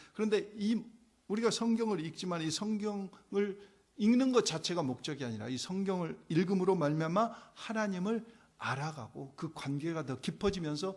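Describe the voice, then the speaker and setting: Pitched high, a man speaks at a fairly slow pace with lively intonation. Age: 60s. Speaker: pastor. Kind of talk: sermon. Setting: church. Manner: conversational.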